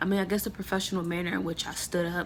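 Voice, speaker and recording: A woman with a fairly low pitch talks with vocal fry and monotone, flat intonation. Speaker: college student. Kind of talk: self-evaluation monologue to camera. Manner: fast; casual with filler words.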